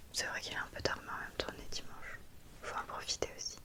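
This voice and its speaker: Over noticeable background noise, a woman is whispering at a moderate pace. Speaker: ASMR content creator. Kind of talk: ASMR roleplay, caring friend soothing a headache. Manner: whispered, soft-spoken. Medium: role play.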